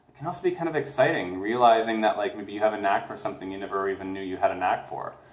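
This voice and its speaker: With noticeable background noise behind him, a man with a fairly low voice races along at a very fast pace with hardly any pauses, lively intonation and big swings in loudness. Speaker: tarot card reader. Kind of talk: spiritual reading to camera. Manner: slurred words.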